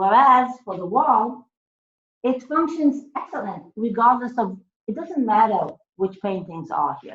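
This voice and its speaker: Loud and fairly high-pitched, a woman speaks at a fairly slow pace with very wide pitch swings. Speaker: academic speaker. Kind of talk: lecture. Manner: hesitant, many fillers.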